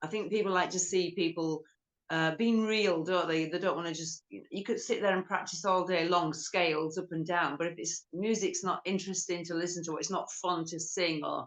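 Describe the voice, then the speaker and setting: Here is a woman with an unremarkable speaking voice and a fairly low pitch. She keeps a moderate pace and fairly even intonation, with hardly any pauses. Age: 50s. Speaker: rock guitarist. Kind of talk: interview. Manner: casual.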